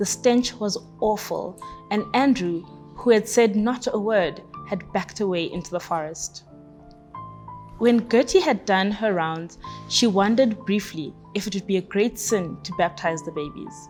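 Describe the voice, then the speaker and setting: A woman talks at a medium pitch. Music plays behind her. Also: ordinary pitch variation, fairly slow pace. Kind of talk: book excerpt reading.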